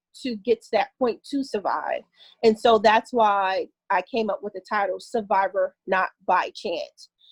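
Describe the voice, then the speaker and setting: With an American accent, a woman speaks at a moderate pace with ordinary pitch variation. The sound is dry and close, with no echo. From North New Jersey, US. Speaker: author. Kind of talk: interview.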